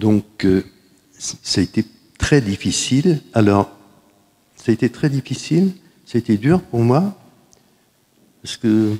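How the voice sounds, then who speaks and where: Very slow speech with long, frequent pauses, lively intonation and a dark, mellow tone, in a dry, close sound with no echo. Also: man, medium pitch for a man. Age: 70s. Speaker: cancer survivor. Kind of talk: testimony. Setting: conference with audience. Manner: halting.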